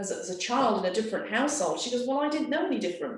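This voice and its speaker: This woman's voice is high-pitched, with lively intonation. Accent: English. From England. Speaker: artist. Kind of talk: interview conversation.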